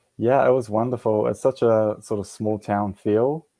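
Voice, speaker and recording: With a New Zealand accent, a man talks at a fairly slow pace and fairly low pitch in a dark, mellow tone, his intonation fairly even and the sound dry and close with no echo. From New Zealand (Auckland). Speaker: military veteran, yoga and meditation teacher. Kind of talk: interview. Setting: radio show. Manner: halting, many fillers.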